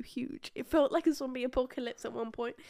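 With a British accent, a woman speaks fairly quickly at a high pitch with ordinary pitch variation. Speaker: podcast co-host. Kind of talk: casual chat. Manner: animated.

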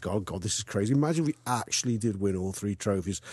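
The voice has a dark, mellow tone and moves at a fairly quick pace. The background is quiet. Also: man. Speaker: football fan contributor. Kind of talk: personal anecdote.

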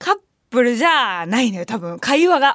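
A woman's animated, fairly quick delivery with lively intonation. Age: 20s. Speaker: radio host and band vocalist. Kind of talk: casual radio talk. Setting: studio.

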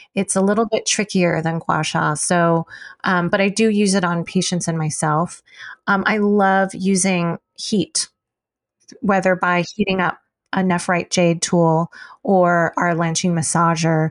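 In an American accent, a woman speaks with an ordinary speaking voice, fairly low in pitch, at a fairly slow pace with fairly even intonation and very even loudness. The sound is dry and close with no echo, over a quiet background. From US, Chinese American family. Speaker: acupuncturist and herbalist. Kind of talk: interview.

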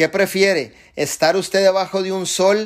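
On a very clean recording with a silent background, a high-pitched man talks at a fairly slow pace in an animated tone. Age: 40s. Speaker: network marketing leader. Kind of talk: motivational talk.

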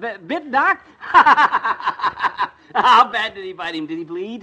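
A man's put-on character voice, high-pitched and bright and sharp in tone, with ordinary pitch variation at a very slow pace.

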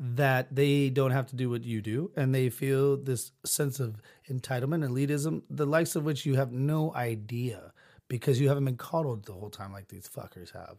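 A man's dark, mellow voice at medium pitch, moderate in pace with ordinary pitch variation, on a very clean recording with a silent background. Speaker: podcast host. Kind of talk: casual, crude. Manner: steady, never falters; blunt, profane ranting.

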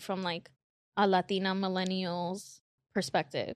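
Against a quiet background, a woman speaks at a fairly slow pace and medium pitch, with a dry, close sound and no echo. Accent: American. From Queens, New York. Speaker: content creator and morning show host. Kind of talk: casual interview.

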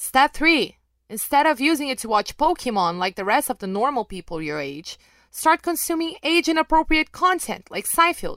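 A woman with a Brazilian accent speaks at a moderate pace with very wide pitch swings. The recording is very clean, with a silent background. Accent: mild Brazilian Portuguese accent in English. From Brazil, Rio de Janeiro. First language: Portuguese. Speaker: MMA podcast host and journalist. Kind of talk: podcast Q and A monologue. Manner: casual, with filler words and occasional stumbles.

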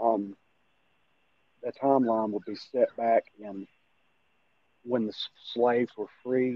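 A man with an Appalachian accent speaks at a very slow pace and medium pitch, leaving long, frequent pauses. His intonation is monotone and flat, with big swings in loudness. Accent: Appalachian Kentucky. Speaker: amateur actor and horror fan. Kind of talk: casual interview chat.

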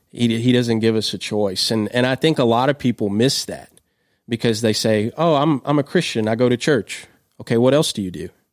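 In a very clean recording with a silent background, a man with a Kentucky accent talks at a fairly quick pace with ordinary pitch variation, the sound dry and close with no echo. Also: medium pitch for a man. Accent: Kentucky Southern US. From central Kentucky. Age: young. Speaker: youth pastor. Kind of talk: casual chat. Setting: studio. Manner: halting, many repeated words.

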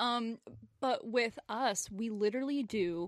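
With an American accent, a woman talks in a plain, everyday voice. Her pitch is fairly high and her intonation lively. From US South (Memphis, Tennessee). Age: young. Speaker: dance choreographer and creative director, podcast co-host. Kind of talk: casual chat.

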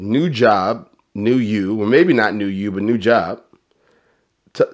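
A man has an unremarkable speaking voice at a medium pitch. His intonation is lively. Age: 30s. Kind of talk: interview. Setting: video call.

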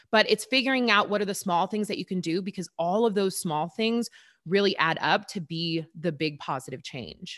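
In an ordinary speaking voice, a woman talks at a moderate pace and medium pitch with ordinary pitch variation, on a very clean recording with a silent background. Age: 30s. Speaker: fitness instructor and influencer. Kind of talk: podcast interview.

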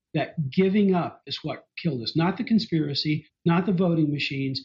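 Here is an unremarkable speaking voice from a man with an American accent, at a fairly high pitch. He keeps a moderate pace with ordinary pitch variation. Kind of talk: casual interview discussion.

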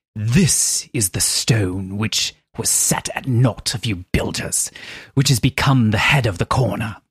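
A man's put-on character voice in a British accent, raspy and medium in pitch, at a fairly slow pace, with a dry, close sound and no echo. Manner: solemn, reading scripture.

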